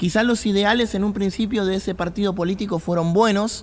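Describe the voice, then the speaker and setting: A man speaks at a fairly quick pace with an Argentine accent. His pitch varies in an ordinary way. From Argentina. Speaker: pastor. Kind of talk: podcast talk on faith and politics.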